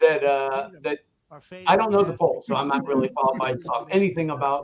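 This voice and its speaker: A man's very fast speech with lively intonation. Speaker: political commentator. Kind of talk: heated debate. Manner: loud.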